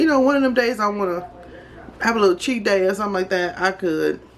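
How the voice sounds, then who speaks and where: Noticeable background noise beneath a voice with an American accent. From Chicago, US. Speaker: vlogger. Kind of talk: casual chat. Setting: home kitchen.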